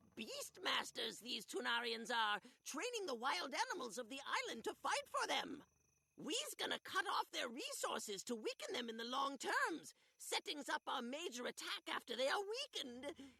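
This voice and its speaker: High pitch and medium speed in a put-on character voice. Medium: video game. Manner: broken grammar, extra s sounds.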